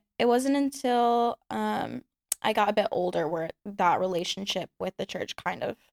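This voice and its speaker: A woman with an American accent speaks at a moderate pace. Her voice sounds dry and close, with no echo. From Texas, Houston. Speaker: adult content creator. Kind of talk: casual chat.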